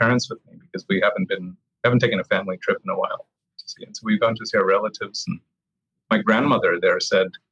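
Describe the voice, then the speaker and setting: A man with an American accent talks at a very fast pace in a dry, close sound with no echo. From US South. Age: 50s. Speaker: experimental physicist. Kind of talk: casual interview conversation.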